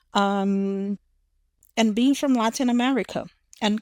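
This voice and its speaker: In a Brazilian accent, a speaker talks at a very slow pace, with a dry, close sound with no echo on a very clean recording with a silent background. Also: woman. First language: Portuguese. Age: young. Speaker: psychologist. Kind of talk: interview testimony. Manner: halting, many fillers and repetitions.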